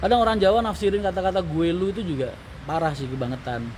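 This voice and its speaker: Amid noticeable background noise and audible room echo, a man speaks fairly quickly with lively intonation. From Tangerang / Jakarta area, Indonesia. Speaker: livestream host, bus company owner. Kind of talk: casual live-stream chat reading viewer comments.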